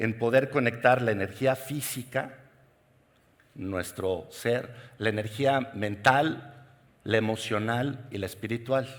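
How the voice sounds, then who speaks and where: This is a normal speaking voice, moving at a fairly slow pace with ordinary pitch variation. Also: man. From Mexico. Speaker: keynote speaker, executive coach. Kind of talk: conference keynote talk. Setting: stage with audience.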